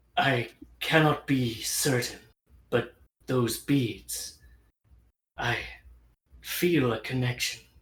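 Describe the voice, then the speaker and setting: Very slowly, a raspy put-on character voice speaks at a low-to-middle pitch. Long, frequent pauses break up the lines. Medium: actual play.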